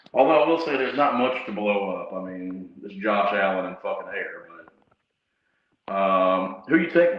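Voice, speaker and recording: Audible room echo surrounds a voice with lively intonation and big swings in loudness. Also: man. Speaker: sports livestream host. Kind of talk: casual chat. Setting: livestream from bathroom, then closet.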